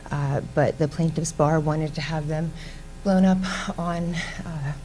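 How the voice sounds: A soft-spoken woman talks at a slow pace in a low voice with fairly even intonation.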